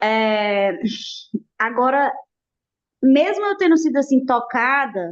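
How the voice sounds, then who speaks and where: A woman's high voice with very wide pitch swings, at a very slow pace. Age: 30s. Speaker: study group participant. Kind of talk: group discussion.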